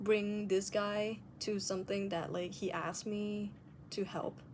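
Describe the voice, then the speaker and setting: A woman speaks in a non-native accent at a medium pitch. Her pace is very slow. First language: non-native English speaker. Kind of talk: casual video diary talk to camera.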